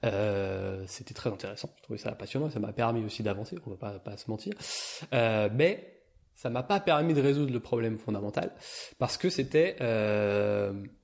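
A man speaks at a moderate pace with a medium pitch and lively intonation. He has a normal speaking voice, and the background is quiet. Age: 30s. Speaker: shiatsu and energy-healing practitioner. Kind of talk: casual conversation.

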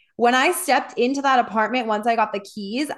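An animated, high-pitched woman's voice. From US Midwest. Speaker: podcast host and wellness coach. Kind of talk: casual chat.

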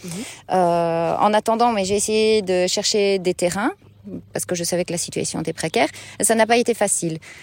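On a very clean recording with a silent background, a woman with a plain, everyday voice speaks at a moderate pace, her medium pitch varying in an ordinary way. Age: 30s. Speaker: market gardener. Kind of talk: interview. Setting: outdoors in a field.

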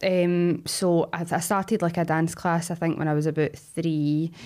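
On a very clean recording with a silent background, a woman speaks at a moderate pace and fairly low pitch, her loudness very even and her pauses hardly any. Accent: Glaswegian. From Scotland, Glasgow. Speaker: actress. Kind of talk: casual chat.

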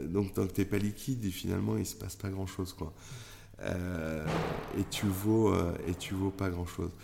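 At a fairly slow pace, a man talks in a very deep, low pitch with a dark, mellow tone and ordinary pitch variation. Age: 40s. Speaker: tech entrepreneur. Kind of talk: interview. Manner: halting.

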